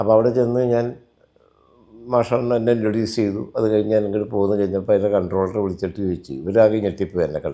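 A man's fairly low voice with a dark, mellow tone and ordinary pitch variation. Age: 60s. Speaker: film stunt master and martial arts teacher. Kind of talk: interview.

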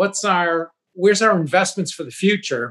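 A man talks at a moderate pace while the background stays quiet. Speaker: remote interview guest. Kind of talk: interview answer. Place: home room. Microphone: video call.

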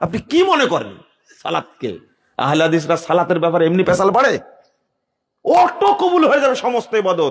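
The man's voice is high-pitched and swings very widely in pitch. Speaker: Islamic preacher. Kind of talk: sermon. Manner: animated.

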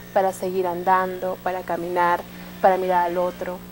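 A woman's fairly low-pitched voice, flat and monotone, at a moderate pace with music in the background. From Mexico City. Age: 20s. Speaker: storyteller and poet. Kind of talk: TV interview with storytelling. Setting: live TV studio. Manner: expressive storytelling voice. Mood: warm, expressive, storytelling. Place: studio. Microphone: lapel.

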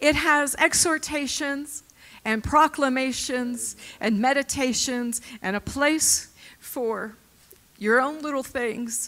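Her high voice has a bright, sharp tone and ordinary pitch variation. The woman talks at a very slow pace. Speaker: guest. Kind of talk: casual chat; sermon-like testimony. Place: church. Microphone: handheld.

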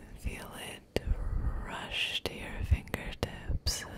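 A woman whispering, breathy and very slow, over loud background noise. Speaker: ASMR creator. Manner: breathy close-mic whisper. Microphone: studio mic.

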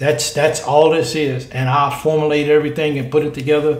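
Monotone, flat delivery at a moderate pace, with audible room echo. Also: man. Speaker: sports fan channel host. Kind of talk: casual vlog chat. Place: home room. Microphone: phone near.

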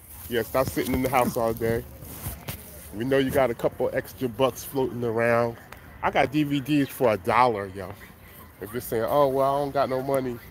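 At a moderate pace and in an upbeat tone, a man speaks with long, frequent pauses, and the sound is dry with no echo under light background noise. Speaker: flea market seller and rapper. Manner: loud, hyped, upbeat hustler patter with slang, repeated catchphrases; casual, rambling, conversational, self-promoting. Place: market. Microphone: phone near.

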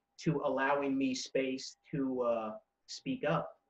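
A man speaks at a fairly high pitch, with audible room echo. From Canada, New Brunswick. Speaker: spoken word poet; poet, interview guest. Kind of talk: interview. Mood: warm, smiling, animated. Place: home room. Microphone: webcam.

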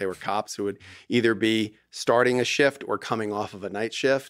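A man speaks at a moderate pace. Nothing much stirs in the quiet background. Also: dry sound with no echo. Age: 50s. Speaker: divorce lawyer. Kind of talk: casual chat. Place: studio. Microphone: studio mic.

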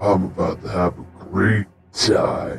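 A woman speaks in a put-on character voice with a very deep, low pitch. Faint music plays in the background. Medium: role play. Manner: hostile, threatening.

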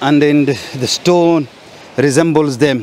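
A man talks at a very slow pace with fairly even intonation. The sound is dry, with no echo. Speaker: guide exploring a site. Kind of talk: walking commentary. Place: beach.

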